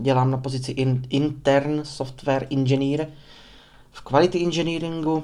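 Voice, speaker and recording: A man's monotone, flat intonation with long, frequent pauses. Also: fairly high pitch for a man, moderate pace. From Czech Republic, Prostějov (Moravia). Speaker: podcaster. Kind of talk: unscripted monologue. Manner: rambling, talkative.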